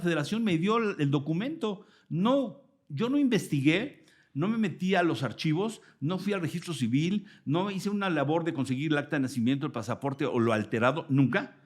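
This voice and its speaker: In a Mexican accent, a man talks at a moderate pace with a high pitch and very wide pitch swings. The recording is very clean, the background silent. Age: 60s. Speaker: sports journalist. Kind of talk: interview. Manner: animated.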